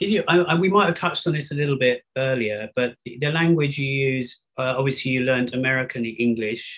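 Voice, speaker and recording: A man's unremarkable speaking voice at medium pitch, fairly quick in pace with hardly any pauses and ordinary pitch variation. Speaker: podcast host. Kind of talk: podcast interview and narration.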